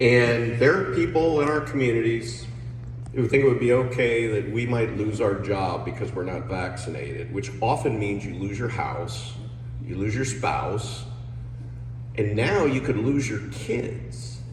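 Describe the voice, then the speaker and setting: A man speaks with ordinary pitch variation. Noticeable background noise and audible room echo come through. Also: medium pitch for a man, fairly slow pace. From New Jersey. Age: 60s. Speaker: political candidate. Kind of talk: campaign speech.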